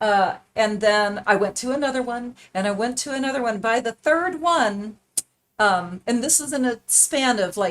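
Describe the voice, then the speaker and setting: Using a plain, everyday voice, a woman talks at a moderate pace and fairly high pitch with lively intonation. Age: 60s. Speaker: art tutor on live stream. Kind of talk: casual chat during paint-along tutorial. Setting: live stream. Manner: conversational, with many fillers.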